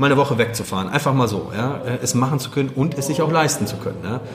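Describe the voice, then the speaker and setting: A man at medium pitch with ordinary pitch variation and a fairly quick pace, plus audible room echo and noticeable background noise. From Germany, Wuppertal (born in Poland, moved at six). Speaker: real estate investor. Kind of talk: interview. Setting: in person after a meetup.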